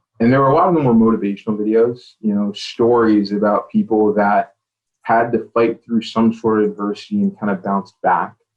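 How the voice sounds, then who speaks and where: A man's voice sits at a medium pitch, with fairly even intonation. Background music plays throughout. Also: fairly quick pace. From US, child of Caribbean immigrants. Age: 30s. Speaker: tech sales professional. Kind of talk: podcast interview. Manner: hesitant, many fillers.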